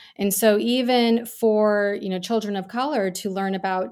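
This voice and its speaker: Here a woman with an American accent speaks at medium pitch and a moderate pace, with fairly even intonation. The recording is very clean, with a silent background. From New York suburbs, US. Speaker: author and former teacher. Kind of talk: interview. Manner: halting, many fillers.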